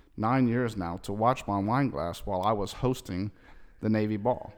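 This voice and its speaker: A man's unremarkable speaking voice, fairly low in pitch, with ordinary pitch variation and a moderate pace. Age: 30s. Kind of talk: casual chat.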